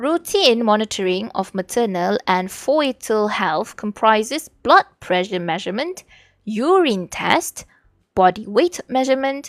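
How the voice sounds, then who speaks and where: On a very clean, dry, close recording with no echo and a silent background, a woman with a Malaysian accent speaks at a fairly high pitch and fairly slow pace, her pitch swinging very widely. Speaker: vtuber streamer. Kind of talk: reading aloud study notes on stream.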